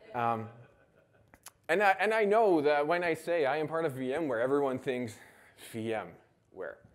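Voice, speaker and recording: With audible room echo, a man with a Dutch accent and a fairly high pitch speaks with long, frequent pauses. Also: lively intonation, fairly slow pace. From Netherlands. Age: 30s. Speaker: conference speaker. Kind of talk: conference talk.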